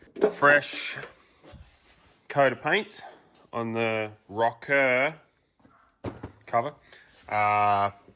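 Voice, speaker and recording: In an Australian accent, a man speaks with a bright, sharp tone and ordinary pitch variation. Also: long, frequent pauses. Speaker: car mechanic youtuber. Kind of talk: tutorial. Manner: mumbly; casual with many fillers.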